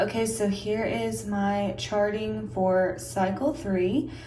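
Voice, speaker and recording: A woman speaks quietly at a very slow pace. Audible room echo and noticeable background noise are present. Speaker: vlogger. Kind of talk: casual vlog talk to camera. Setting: at home, separate room. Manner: quiet, hushed.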